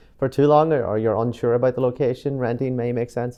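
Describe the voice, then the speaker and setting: A man with an Irish accent speaks at medium pitch with fairly even intonation. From Ireland, Killybegs, County Donegal. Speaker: real estate broker. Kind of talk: casual interview walk-through. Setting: walking through luxury building. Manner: relaxed, hesitant with fillers.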